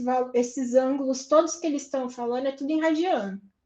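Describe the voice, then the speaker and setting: A woman's high-pitched voice with fairly even intonation over a quiet background. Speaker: university lecturer. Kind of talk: online lecture.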